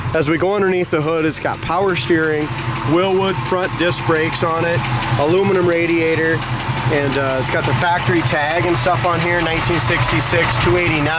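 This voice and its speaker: The speech comes at a moderate pace over loud background noise. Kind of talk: sales walkaround commentary. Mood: enthusiastic. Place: street. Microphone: phone near.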